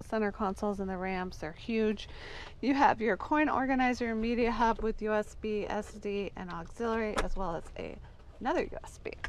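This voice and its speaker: A woman speaks at a moderate pace with ordinary pitch variation. The sound is dry with no echo, over light background noise. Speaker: car dealership salesperson. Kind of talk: product walkaround commentary. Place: car. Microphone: phone near.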